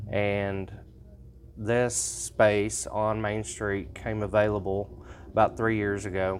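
Very slow, fairly even speech from a man with a fairly low pitch and an American accent, in audible room echo. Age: 40s. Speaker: shop owner. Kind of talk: business interview. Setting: in his store. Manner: hesitant, many fillers.

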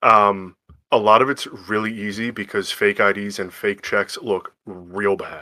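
In a very clean recording with a silent background, a man with an American accent speaks fairly slowly in a fairly low, monotone, flat voice with a bright, sharp tone. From eastern Pennsylvania, Lehigh Valley. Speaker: credit card underwriter, darts league player. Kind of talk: casual chat.

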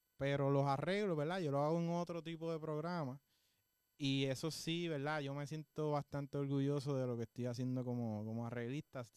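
Fairly high in pitch, a man uses a normal speaking voice with ordinary pitch variation. He moves at a fairly quick pace in a dry, close sound with no echo. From Puerto Rico, Juana Díaz. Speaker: musician and music teacher. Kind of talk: interview. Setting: studio.

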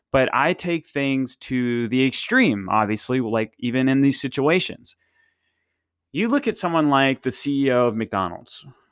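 A man with a medium-pitched voice talks at a moderate pace with lively intonation. The sound is dry and close with no echo, and the recording is very clean over a silent background. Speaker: fitness podcast host. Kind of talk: solo podcast monologue. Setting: studio. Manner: casual, rambling.

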